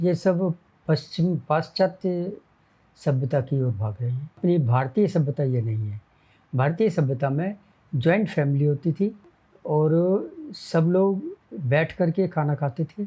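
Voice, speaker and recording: The voice has a dark, mellow tone and lively intonation. Long, frequent pauses break up the speech. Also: man, fairly high pitch for a man. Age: 80s+. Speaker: retired junior engineer. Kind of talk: interview answer.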